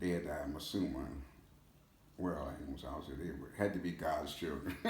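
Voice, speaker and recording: At a moderate pace, a man with a very deep, low pitch speaks with vocal fry and fairly even intonation. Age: 80s+. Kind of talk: interview answer. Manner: hesitant, halting.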